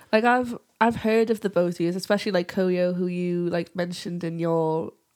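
In a very clean recording with a silent background, a woman with a Geordie accent speaks at a moderate pace, her fairly low voice held to fairly even intonation. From northern England, Newcastle area. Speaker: music podcast host and journalist. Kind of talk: casual chat; sponsor read.

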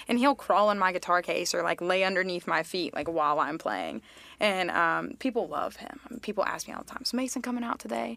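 A woman's medium-pitched voice with an American accent, a bright, sharp tone and vocal fry, at a fairly quick pace with very wide pitch swings and big swings in loudness. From Charlotte, North Carolina. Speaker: musician. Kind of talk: casual chat.

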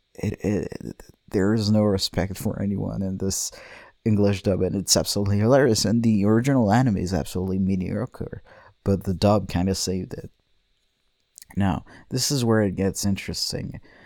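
In a very clean recording with a silent background, a man talks in a relaxed tone at a moderate pace, with a dark, mellow tone, a fairly low pitch and fairly even intonation. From France. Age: 20s. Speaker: podcast host, animation student. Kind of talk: casual monologue. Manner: rambling with many fillers; relaxed, drowsy.

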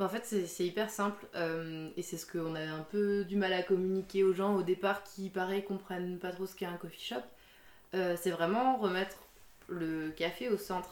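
Over noticeable background noise, a woman talks at a moderate pace. Her medium-pitched voice has fairly even intonation. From Alsace, France. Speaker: coffee shop owner. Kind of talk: interview.

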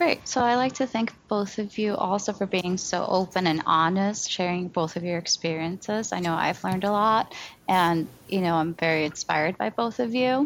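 A normal speaking voice from a woman, pitched at a medium level for a woman and carrying ordinary pitch variation. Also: moderate pace. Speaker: podcast host. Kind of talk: podcast intro and moderating.

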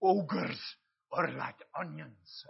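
A raspy, put-on character voice in a Scottish accent. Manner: put-on imitation.

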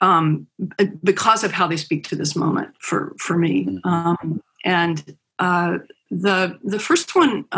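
A woman with an American accent talks at a very slow pace with vocal fry. Her pitch is fairly low with ordinary variation. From US South, Roanoke, Virginia. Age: 60s. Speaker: philanthropy strategist. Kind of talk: casual chat. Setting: video call.

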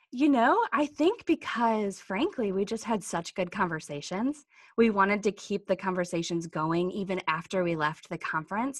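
At a moderate pace and with hardly any pauses, a woman uses a normal speaking voice at a medium pitch, her intonation lively against a quiet background. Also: dry, close sound with no echo. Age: 30s or 40s. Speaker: digital marketing agency owner and podcast co-host. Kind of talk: casual chat.

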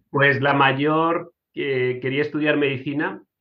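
His fairly high pitch held monotone and flat, a man speaks at a fairly slow pace. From Spain (Murcia). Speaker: engineer. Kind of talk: casual interview.

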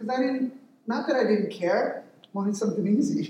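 At an extremely high pitch, a man speaks at a moderate pace with ordinary pitch variation and audible room echo. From Mexican-American family, US. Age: 50s. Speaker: lay preacher. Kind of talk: sermon. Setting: church.

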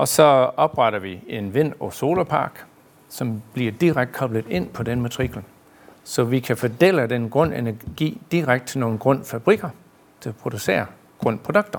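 Speaking at a fairly slow pace with an American accent, a man at medium pitch uses lively intonation. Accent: American accent in Danish. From US, New York. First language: English (speaking Danish). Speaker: director of an energy park. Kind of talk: live panel interview.

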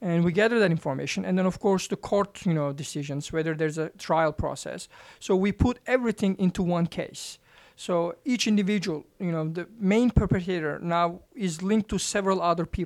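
Recorded very cleanly against a silent background, the speaker talks at a fairly quick pace with a Turkish accent. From Turkey. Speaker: professor. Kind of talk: interview. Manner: halting, many fillers.

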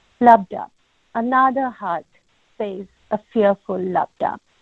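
With a strong non-native accent, a woman speaks at a very slow pace in a fairly high voice with lively intonation. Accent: heavy non-native accent (self-described). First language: not English. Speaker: caller reading own poem. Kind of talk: poetry reading. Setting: phone call into live session.

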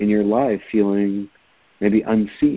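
A man with an American accent talks at a moderate pace in a plain, everyday voice that is fairly low in pitch. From upstate New York. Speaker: palliative care physician. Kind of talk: interview.

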